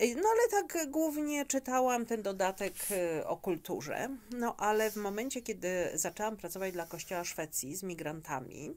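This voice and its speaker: A woman at a moderate pace, fairly high in pitch, with very wide pitch swings. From Poland. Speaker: immigration specialist; interview guest. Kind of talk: interview. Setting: studio. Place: studio.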